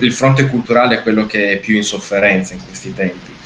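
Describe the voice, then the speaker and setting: A man speaks in a fairly low pitch with noticeable background noise behind him. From northeastern Italy, Gorizia. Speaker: regional tourism ambassador. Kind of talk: interview. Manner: halting, many fillers.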